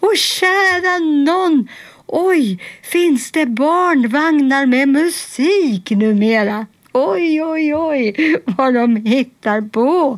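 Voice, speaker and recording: Using a put-on character voice, a woman speaks at a high pitch. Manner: surprised, exclaiming.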